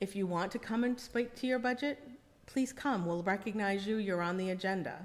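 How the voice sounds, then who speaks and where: Moderate pace, a medium-pitched female voice, and ordinary pitch variation. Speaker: budget committee chair. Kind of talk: public meeting discussion. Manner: hesitant, many fillers.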